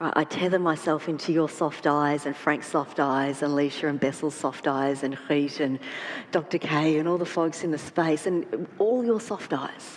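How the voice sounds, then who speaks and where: With an Australian accent, a woman speaks at a fairly slow pace in a very deep, low pitch. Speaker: trauma therapist. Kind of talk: panel discussion. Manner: halting, repeats words.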